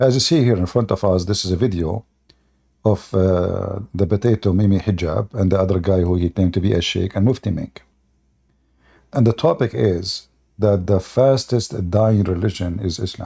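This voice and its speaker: A man with an Arabic accent speaks at a moderate pace in a fairly low, somewhat breathy voice with a dark, mellow tone. The recording is very clean and the background silent. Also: ordinary pitch variation. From Middle East. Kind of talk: live stream commentary.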